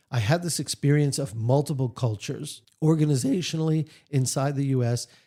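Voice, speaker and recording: Somewhat breathy and dark, mellow in tone, a man with an American accent speaks with ordinary pitch variation. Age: 60s. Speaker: author and leadership trainer. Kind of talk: interview. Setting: radio studio.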